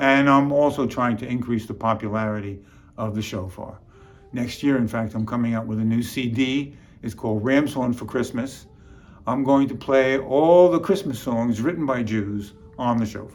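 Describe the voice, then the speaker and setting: The speaker has a New York accent, a moderate pace, and ordinary pitch variation. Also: man, medium pitch for a man. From New York City (Bronx). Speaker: comedian and musician. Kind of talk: comic storytelling monologue.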